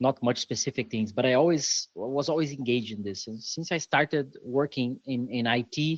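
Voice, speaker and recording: Against a quiet background, a man with a Brazilian accent speaks at a moderate pace with fairly even intonation. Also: dry, close sound with no echo. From Brazil, São Paulo. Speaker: software developer and security conference organizer. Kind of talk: podcast interview.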